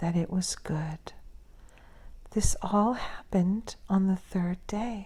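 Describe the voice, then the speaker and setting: Whispering very slowly, a woman speaks softly in a somewhat breathy voice with a gentle tone. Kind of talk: soft-spoken scripture reading for sleep and relaxation. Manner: soft-spoken, gentle, whispery, slow.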